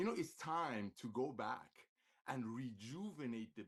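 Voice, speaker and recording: A man with a medium pitch talks in an animated tone with lively intonation. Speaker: network marketing executive. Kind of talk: sales pitch. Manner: fast.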